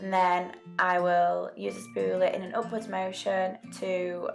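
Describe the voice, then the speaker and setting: Music plays behind this woman as she talks. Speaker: beauty vlogger. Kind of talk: makeup tutorial talk to camera. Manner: casual, chatty.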